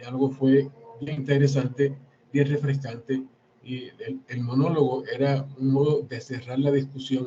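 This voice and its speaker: A man speaks at a medium pitch and a fairly slow pace in a flat monotone. His loudness swings widely. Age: 60s. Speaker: historian and author. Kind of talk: book presentation talk. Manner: halting, with repetitions.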